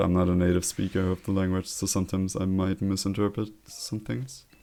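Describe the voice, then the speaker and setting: Speech unfolds at a moderate pace. Its intonation is fairly even. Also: man, hardly any pauses. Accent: German. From Germany. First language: German. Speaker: streamer. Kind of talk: casual live stream chat. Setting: live stream.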